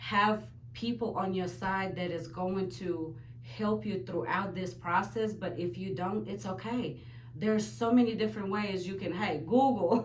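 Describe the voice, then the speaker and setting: A woman's medium-pitched voice at a fairly slow pace, with very wide pitch swings and audible room echo. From Ukraine. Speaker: aspiring business owner. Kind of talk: interview testimony.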